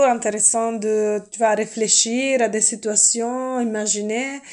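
Her fairly high voice stays monotone, with flat intonation throughout. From earthquake-prone country abroad. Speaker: interview guest. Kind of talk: role-play interview. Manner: hesitant.

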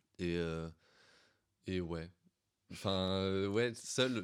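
Fairly even intonation marks a man's very deep, low pitch on a very clean recording with a silent background. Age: young (18). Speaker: student. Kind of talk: casual chat.

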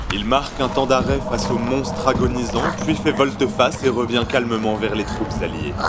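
With music in the background, a man speaks at a moderate pace, medium pitch and fairly even intonation. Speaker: narrator of audio fiction. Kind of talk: dramatic narration of a fantasy audio drama, scripted storytelling. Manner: gripping, present-tense storytelling with rising tension, urgent and vivid.

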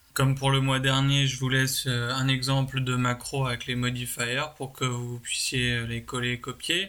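Noticeable background noise sits behind a man speaking at a fairly slow pace. He talks in a flat monotone and hardly pauses. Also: medium pitch for a man. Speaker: podcast segment presenter. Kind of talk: pre-recorded segment. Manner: hesitant with many ums.

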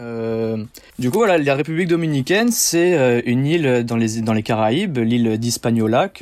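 At a moderate pace comes an unremarkable speaking voice. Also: man. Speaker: diving instructor. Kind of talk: interview.

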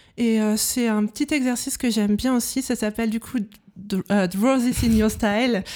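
Her voice fairly high with a dark, mellow tone, a woman talks at a moderate pace with fairly even intonation and very even loudness. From Brittany, France. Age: 30s. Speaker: illustrator. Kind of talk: casual interview.

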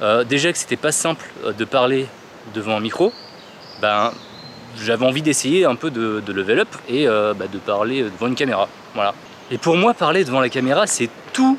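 A man speaks at a moderate pace and a medium pitch, leaving long, frequent pauses over noticeable background noise. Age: 30s. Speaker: podcaster. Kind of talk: casual vlog monologue.

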